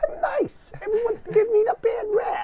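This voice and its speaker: A put-on character voice, extremely high and whiny, at a fairly quick pace. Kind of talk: casual, complaining. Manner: defensive, whiny, ingratiating.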